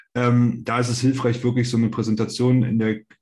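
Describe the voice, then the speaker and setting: Using monotone, flat intonation, a man with a medium pitch speaks at a moderate pace. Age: 30s. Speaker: startup investor, investment company managing director. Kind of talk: podcast interview. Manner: hesitant, many fillers.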